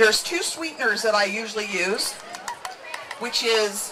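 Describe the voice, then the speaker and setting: An animated voice with very wide pitch swings comes through noticeable background noise and audible room echo. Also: woman. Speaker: cooking show host. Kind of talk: cooking demonstration. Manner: fast.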